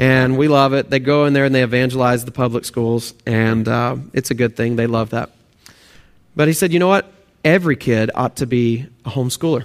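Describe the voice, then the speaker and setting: A man with a Texan accent speaks at a fairly quick pace, his medium pitch showing ordinary variation. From Texas/Oklahoma. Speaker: pastor. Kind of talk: sermon.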